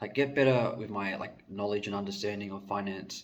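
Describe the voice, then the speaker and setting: The man's fairly low voice stays in monotone, flat intonation. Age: 20s. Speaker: vlogger. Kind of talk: casual monologue. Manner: hesitant, many fillers.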